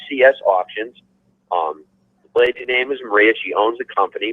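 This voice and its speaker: A man talks at a fairly quick pace. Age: 60s. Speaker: racing promoter. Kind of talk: interview.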